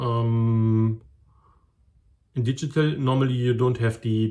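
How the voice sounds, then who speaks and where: With a German accent, the speaker goes at a very slow pace in a dark, mellow tone. The recording is very clean, with a silent background. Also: man. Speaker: model railway hobbyist. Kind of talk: tutorial. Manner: halting.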